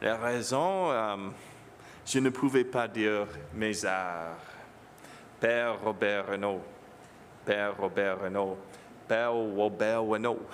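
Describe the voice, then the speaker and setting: A man with an English accent and a fairly low pitch speaks at a very slow pace, with long, frequent pauses. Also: ordinary pitch variation. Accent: English-speaking accent in French. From Ontario, Canada, English-speaking home. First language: English (speaking French). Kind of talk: homily. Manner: halting.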